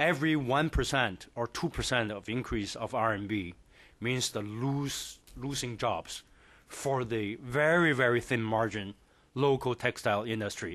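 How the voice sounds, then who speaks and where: Against a quiet background, a man in a Chinese accent speaks at a very slow pace and medium pitch with ordinary pitch variation. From China. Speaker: professor. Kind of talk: panel presentation.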